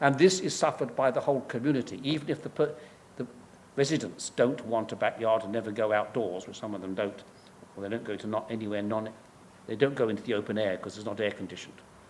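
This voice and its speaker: A man with an English accent speaks very fast at medium pitch with ordinary pitch variation. His loudness swings widely. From England. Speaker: professor. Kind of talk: lecture. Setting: stage with audience. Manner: halting.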